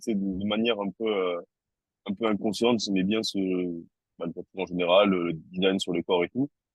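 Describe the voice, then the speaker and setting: A man speaks with a southern French accent. His pace is moderate. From southern France, Toulouse. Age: 30s. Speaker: tattoo artist. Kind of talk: interview. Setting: podcast. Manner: hesitant, many fillers and repetitions.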